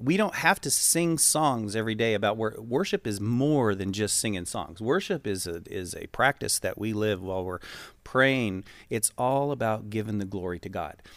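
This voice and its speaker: A man talks at a moderate pace with medium pitch and ordinary pitch variation, in an ordinary speaking voice. The recording is very clean, with a silent background. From US West, western Colorado. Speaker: church worship leader. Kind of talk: casual interview.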